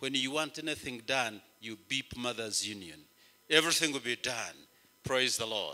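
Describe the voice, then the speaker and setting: Bright and sharp in tone, a man speaks at a moderate pace. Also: quiet background. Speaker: bishop preaching. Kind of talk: sermon. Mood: warm, grateful. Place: church. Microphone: handheld.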